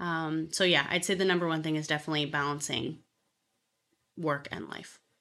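A woman's very deep, low voice with a bright, sharp tone, fairly even intonation and a fairly quick pace. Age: 20s. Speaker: real estate agent. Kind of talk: interview.

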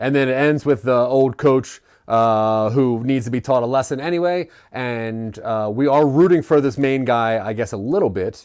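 In an American accent, a man speaks at a moderate pace with an ordinary speaking voice, medium pitch and ordinary pitch variation. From Maryland. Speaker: podcast host. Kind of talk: casual chat.

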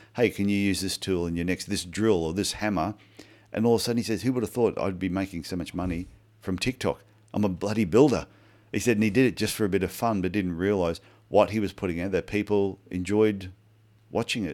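This man's pitch sits fairly low and he moves at a fairly quick pace, in a normal speaking voice. The recording is very clean with a silent background. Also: fairly even intonation. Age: 50s. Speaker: podcast co-host, podiatrist. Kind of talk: casual chat.

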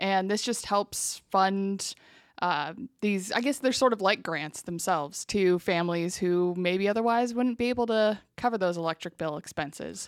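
A woman with an American accent has an unremarkable speaking voice at a medium pitch. She talks at a moderate pace with ordinary pitch variation on a very clean recording with a silent background. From eastern Washington, US. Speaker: utility public information officer. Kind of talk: interview. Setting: office.

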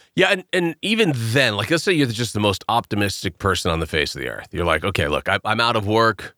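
Speaking at a fairly quick pace with hardly any pauses, a man at medium pitch has a bright, sharp tone, vocal fry, and very wide pitch swings, recorded very cleanly with a silent background and a dry, close sound with no echo. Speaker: podcast co-host. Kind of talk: casual radio-style news chat. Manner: conversational, reads news stories aloud.

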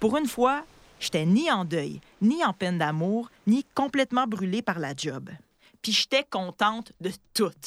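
Heard in a dry, close sound with no echo, a woman at medium pitch speaks at a very slow pace with very wide pitch swings. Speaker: podcast host. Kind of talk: casual chat; scripted narration.

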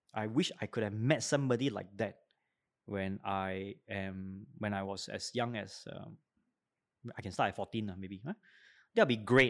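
A man with a Singaporean accent and a fairly low voice speaks at a moderate pace with fairly even intonation, big swings in loudness and long, frequent pauses, on a very clean recording with a silent background. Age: 40s. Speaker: educator. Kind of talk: interview.

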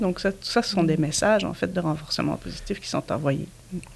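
A woman with fairly low pitch and ordinary pitch variation talks at a fairly quick pace in a plain, everyday voice. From Belgium. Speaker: nonprofit director. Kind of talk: casual interview.

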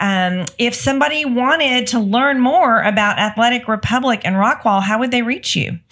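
A woman with a high voice talks at a moderate pace, barely pausing, her loudness very even and her pitch varying in an ordinary way over noticeable background noise. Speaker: podcast co-host, franchise consultant. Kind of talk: podcast interview.

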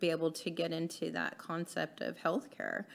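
Her voice is fairly low in pitch. The woman talks with an American accent. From Texas, small town (Eagle Lake). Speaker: hospice co-founder. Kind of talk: casual interview chat.

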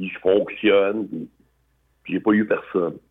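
The man's delivery is at a fairly slow pace. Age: 60s. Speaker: biker and charity fundraiser. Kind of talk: casual interview, personal life story.

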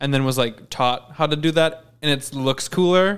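Intonation remains fairly even throughout. The delivery keeps a moderate pace. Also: man. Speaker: podcast co-host. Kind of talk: casual chat. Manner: laughs often.

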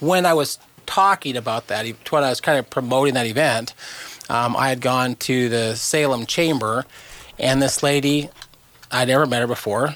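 Through noticeable background noise, a man of medium pitch speaks at a moderate pace with ordinary pitch variation and long, frequent pauses. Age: 50s. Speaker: cancer charity co-founder. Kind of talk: casual chat.

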